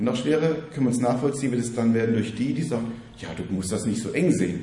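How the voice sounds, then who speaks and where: Very fast speech from a man, medium-pitched, with ordinary pitch variation. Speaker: preacher. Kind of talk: sermon, teaching-style preaching to a congregation. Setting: church. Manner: earnest, fairly quick, warm and encouraging.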